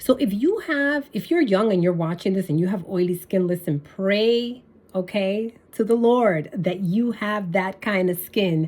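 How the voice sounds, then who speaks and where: This woman talks at a moderate pace with ordinary pitch variation. She has a plain, everyday voice. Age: 60s. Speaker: beauty vlogger. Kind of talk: casual tutorial. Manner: casual, with many fillers.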